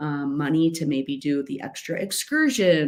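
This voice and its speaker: A woman speaks at a fairly slow pace with a very deep, low pitch. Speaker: life coach hosting a masterclass. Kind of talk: webinar presentation. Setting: home office, online session with screen sharing. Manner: loud.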